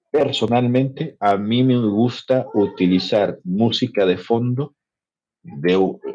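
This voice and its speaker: Here a man's dark, mellow tone carries lively intonation. He speaks at a very slow pace with very even loudness. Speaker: podcast host. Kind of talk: educational podcast chat. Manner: conversational, with filler hesitations.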